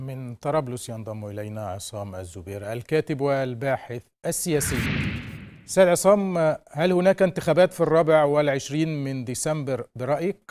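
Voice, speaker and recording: A man at a fairly high pitch, with lively intonation, big swings in loudness and a fairly slow pace against a quiet background. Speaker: news anchor. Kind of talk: news reading. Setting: studio. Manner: formal. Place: studio. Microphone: lapel.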